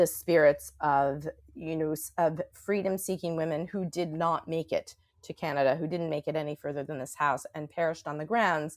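In a very clean recording with a silent background, a woman with an American accent speaks at a moderate pace, her fairly low pitch showing ordinary variation. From New York City. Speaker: author and psychotherapist. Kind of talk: interview. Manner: halting.

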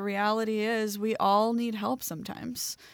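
A woman with an American accent speaks in an ordinary speaking voice. Her pitch is fairly high and her intonation fairly even. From Baltimore, Maryland, US. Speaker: herbalist. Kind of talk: casual chat. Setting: remote recording.

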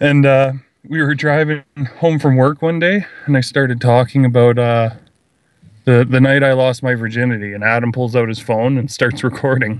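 A man talks in a plain, everyday voice at medium pitch. His pace is moderate and his intonation fairly even. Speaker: podcaster. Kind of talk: casual chat.

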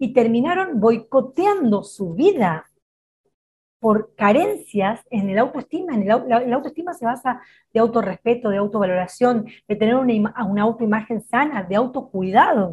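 With a Rioplatense accent, the speaker moves at a moderate pace and uses lively intonation. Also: woman, fairly high pitch for a woman. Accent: Argentine Spanish (rioplatense). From Argentina. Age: 40s. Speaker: psychologist. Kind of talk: interview conversation.

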